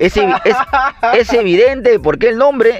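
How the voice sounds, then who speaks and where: Noticeable noise sits behind speech delivered at a moderate speed. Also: man. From Peru, Lima (Cono Norte). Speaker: podcast co-host. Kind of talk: casual chat.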